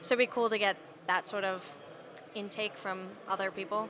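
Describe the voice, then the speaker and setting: A woman with a Canadian accent talks at a fairly quick pace with ordinary pitch variation. The sound is dry with no echo, though background noise is noticeable. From Canada. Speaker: IT network worker and business owner. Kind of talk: casual interview. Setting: conference venue. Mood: friendly, smiling. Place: hall. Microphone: handheld.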